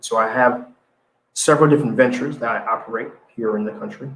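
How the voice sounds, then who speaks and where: A man with a Haitian accent talks at a very fast pace. His voice is medium-pitched with lively intonation. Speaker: business news show host and entrepreneur. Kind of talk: live show commentary. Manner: halting, many repetitions.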